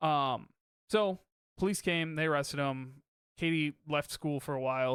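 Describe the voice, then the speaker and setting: The intonation stays fairly even throughout. The recording is very clean, with a silent background and a dry, close sound free of echo. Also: man. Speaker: podcast host. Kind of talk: casual chat. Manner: fast.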